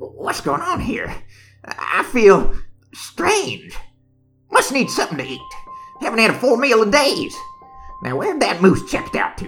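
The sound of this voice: Speech at a moderate pace over faint music in the background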